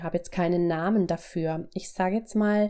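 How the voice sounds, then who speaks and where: With a dark, mellow tone, a woman speaks at a medium pitch and fairly even intonation. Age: 40s. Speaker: pediatric physiotherapist. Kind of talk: interview testimony.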